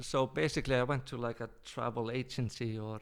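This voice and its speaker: A man with an Icelandic accent, medium pitch and moderate pace. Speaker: travel company owner. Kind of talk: podcast interview answer.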